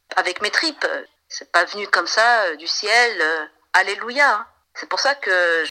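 A woman's medium-pitched, bright and sharp voice at a fairly slow pace, with long, frequent pauses, big swings in loudness and lively intonation. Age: 40s. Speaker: singer. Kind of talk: interview. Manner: animated.

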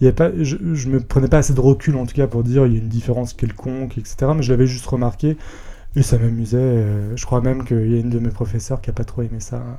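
A man rattles along at a very fast pace, his intonation fairly even. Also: medium pitch for a man. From France, Rhône-Alpes (near Villefranche, Lyon area). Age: 20s. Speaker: podcast guest, entertainment company employee. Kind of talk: personal testimony interview. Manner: hesitant, many fillers.

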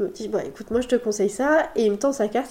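A woman talks at a very fast pace. Her fairly high voice has a dark, mellow tone and ordinary pitch variation. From France, Sarthe (Le Mans). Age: 30s. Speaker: pastry chef and business owner. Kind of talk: casual interview. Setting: recorded at host's home.

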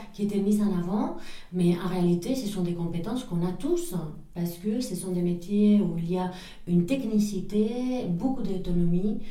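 Amid noticeable background noise and audible room echo, a woman with a Spanish accent speaks at a medium pitch and a moderate pace with ordinary pitch variation. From northern Spain (Pamplona). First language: Spanish (speaking French). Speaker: entrepreneur. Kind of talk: interview. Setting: office.

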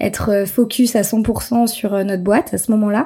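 Her voice, a woman's, sits at medium pitch with a dark, mellow tone and fairly even intonation. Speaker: entrepreneur and podcast host. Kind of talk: solo storytelling podcast. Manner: hesitant, many fillers.

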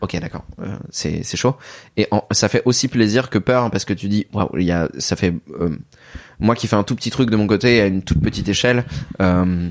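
A man speaks at a fairly low pitch and a moderate pace with ordinary pitch variation. He takes long, frequent pauses. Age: 30s. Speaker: manga writer. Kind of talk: casual interview.

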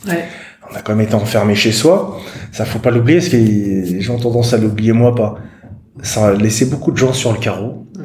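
Amid noticeable background noise and audible room echo, a man talks at a medium pitch and moderate pace with ordinary pitch variation and long, frequent pauses. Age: 40s. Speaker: patient sharing his story, hiking club founder. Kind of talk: interview testimony. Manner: halting.

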